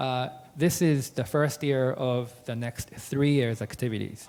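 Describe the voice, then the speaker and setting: A very slow-paced man with a Japanese accent and ordinary pitch variation. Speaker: wine trade association director. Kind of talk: business presentation. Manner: halting, many fillers.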